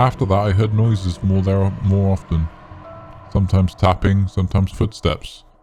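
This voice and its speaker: Music plays in the background as a man speaks at a moderate pace with a fairly low pitch. His intonation is monotone and flat, and his loudness very even. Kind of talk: horror story narration.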